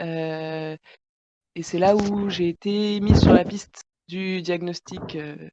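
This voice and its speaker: A woman with a fairly low pitch speaks at a very slow pace, with ordinary pitch variation, long, frequent pauses and big swings in loudness, in a dry, close sound with no echo. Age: 20s. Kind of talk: casual chat. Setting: podcast recording.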